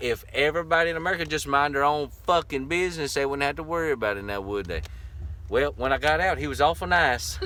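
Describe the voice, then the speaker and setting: With a Southern US accent, the speaker talks at a very fast pace in an animated tone with lively intonation over noticeable background noise. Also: man, fairly high pitch for a man. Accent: Southern US accent, milder than locals. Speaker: vanlife vlogger. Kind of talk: casual chat.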